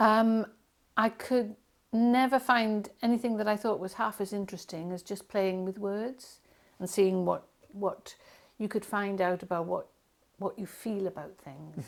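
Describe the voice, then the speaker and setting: A woman talks at a fairly slow pace and medium pitch. Her intonation stays fairly even. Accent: Welsh. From Wales. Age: 60s. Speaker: poet. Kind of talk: interview. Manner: hesitant, many fillers.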